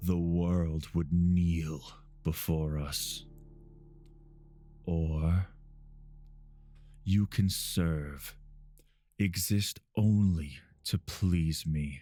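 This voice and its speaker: At a very slow pace with long, frequent pauses, a man uses a put-on character voice pitched very deep and low. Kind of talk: ASMR roleplay.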